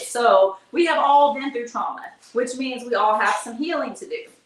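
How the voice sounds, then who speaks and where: Amid noticeable background noise and audible room echo, a woman with a high pitch speaks in an animated tone with very wide pitch swings. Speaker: live streamer and tour producer. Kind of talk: livestream monologue. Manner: fast.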